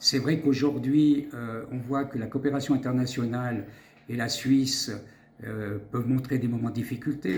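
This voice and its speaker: This man's voice, medium in pitch and somewhat breathy, moves at a moderate pace with fairly even intonation and audible room echo. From Switzerland. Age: 60s. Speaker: doctor and politician. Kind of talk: interview. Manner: halting.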